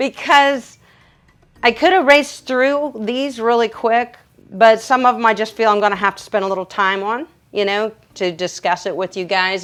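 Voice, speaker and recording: At a moderate pace, a woman with a fairly high pitch and ordinary pitch variation speaks on a very clean recording with a silent background. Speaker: dog groomer. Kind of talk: livestream Q&A tutorial. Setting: livestream from grooming table. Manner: loud; animated.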